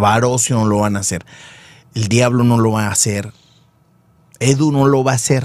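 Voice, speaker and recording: A man talks in a normal speaking voice at medium pitch. His intonation is fairly even, and the sound is dry with no echo. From Nuevo León, Mexico. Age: 40s. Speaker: sports show host. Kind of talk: casual sports talk show. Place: studio. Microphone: studio mic.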